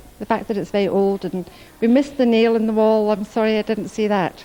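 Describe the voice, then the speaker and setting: Speaking at a fairly quick pace in a Scottish accent, a woman has a fairly high pitch, a dark, mellow tone and fairly even intonation. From Scotland. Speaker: tourist. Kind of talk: street interview.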